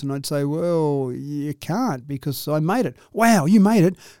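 With an Australian accent, a man speaks at a moderate pace in a dark, mellow tone and lively intonation. The recording is very clean, with a silent background. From Australia, Dubbo, New South Wales. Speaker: local businessman and columnist. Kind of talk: oral history interview.

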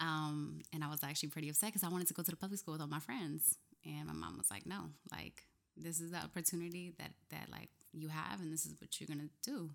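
In an American accent, a woman with a very deep, low pitch and vocal fry speaks very fast. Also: ordinary pitch variation. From New Jersey (Camden, near Philadelphia). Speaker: muralist and poet. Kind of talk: casual interview chat. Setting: studio.

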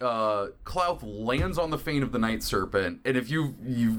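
Lively intonation colors the delivery of a natural reading voice.

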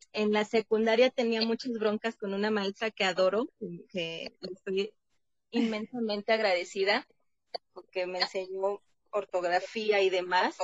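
A woman with a normal speaking voice talks at a fairly slow pace in a medium pitch, her intonation fairly even. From Mexico, Veracruz. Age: 30s. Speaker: psychologist and theologian. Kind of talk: interview.

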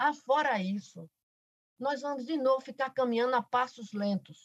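A woman's high voice with lively intonation, at a moderate pace, in a dry, close sound with no echo. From Paraíba, Brazilian Northeast (Alto Sertão). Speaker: professor and politician. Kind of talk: podcast interview.

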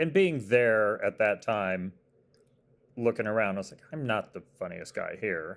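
An American accent marks a man's a normal speaking voice, medium in pitch and fairly slow, with lively intonation and big swings in loudness. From Arizona. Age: 40s. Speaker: TV comedy writer. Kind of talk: casual chat.

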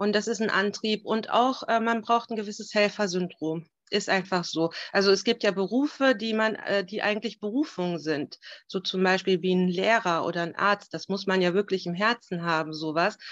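In front of a quiet background, a woman speaks at a moderate pace with a medium pitch and ordinary pitch variation. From Germany, Turkish roots. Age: 30s. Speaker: family support worker. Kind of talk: interview. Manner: hesitant, many fillers.

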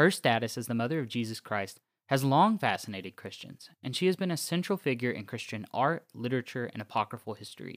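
On a very clean recording with a silent background and a dry, close sound with no echo, a man of medium pitch talks at a very fast pace with hardly any pauses, lively intonation and big swings in loudness. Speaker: podcast host. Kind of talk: scripted narration. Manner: formal.

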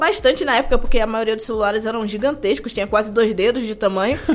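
The woman speaks at a very fast pace. Her intonation is lively. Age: 20s. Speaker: tech content creator and product analyst. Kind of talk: casual chat.

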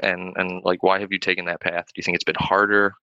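This man's voice sits at a fairly low pitch with a bright, sharp tone. The sound is dry and close, with no echo. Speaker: podcast host. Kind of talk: casual interview.

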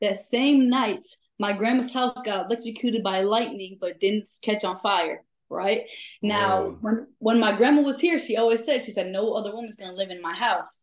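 A woman with a Chicago accent speaks at a moderate pace. Her pitch is fairly high, with ordinary variation. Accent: US Midwest (Chicago area). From Chicago suburbs, Illinois. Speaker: ghost investigator. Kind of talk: casual chat.

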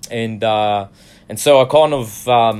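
Here a man speaks with an Australian accent. His pitch is medium, with ordinary variation. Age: 20s. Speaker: church musician. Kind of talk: testimony. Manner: halting.

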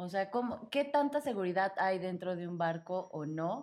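This woman's fairly low voice moves with lively intonation. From Mexico. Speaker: podcast host. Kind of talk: casual chat. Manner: animated.

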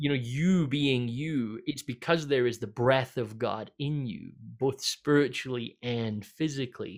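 In a very clean recording with a silent background, a man with a Scottish accent speaks at medium pitch, fairly slowly, with ordinary pitch variation. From Scotland. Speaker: pastor. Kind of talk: casual chat.

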